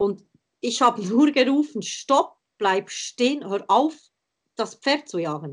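Very wide pitch swings run through speech delivered at a very slow pace with long, frequent pauses. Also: woman, fairly high pitch for a woman. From Switzerland, between Thun and Bern. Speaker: riding instructor. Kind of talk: interview conversation.

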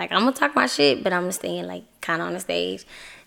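A woman talks fairly quickly with ordinary pitch variation. Vocal fry runs through her voice. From Atlanta, Georgia. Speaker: rapper. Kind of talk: casual interview.

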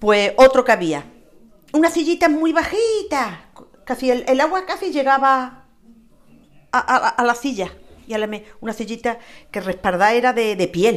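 A woman talks at a moderate pace in a high voice, with very wide pitch swings and long, frequent pauses. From Andalusia, Spain. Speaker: interviewee, local resident. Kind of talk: casual interview. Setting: home terrace.

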